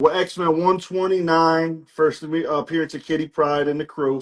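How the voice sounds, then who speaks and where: The speaker talks at a fairly slow pace with a New Jersey accent and fairly even intonation. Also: man. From New Jersey, US East Coast. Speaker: comic book seller. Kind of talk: live sales stream. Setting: livestream with family and friends present.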